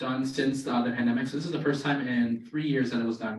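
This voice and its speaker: A man's medium-pitched voice with an American accent, fairly even intonation, and a fairly quick pace amid audible room echo. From Maryland, near Baltimore. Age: 20s. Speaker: student birder and wildlife photographer. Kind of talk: presentation to a club. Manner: casual with many fillers.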